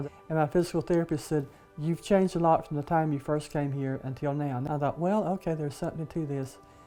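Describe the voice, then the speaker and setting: With music in the background, a woman speaks at a very deep, low pitch with ordinary pitch variation. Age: 80s. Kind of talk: documentary interview answer.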